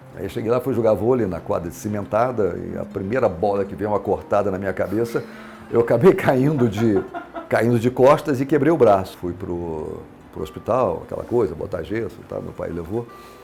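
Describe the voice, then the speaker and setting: The man's intonation is lively and his loudness swings widely. Noticeable background noise runs underneath. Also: medium pitch for a man, moderate pace. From Minas Gerais, Brazil (Lavras), raised in Brasília from 12. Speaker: businessman, city pioneer. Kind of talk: oral history testimony. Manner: halting, many fillers and restarts.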